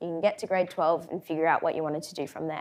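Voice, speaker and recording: Very clean audio with a silent background, featuring a woman with an Australian accent. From Australia, Brisbane. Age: 20s. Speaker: co-CEO of a mentoring organisation, speaker. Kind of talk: conference talk.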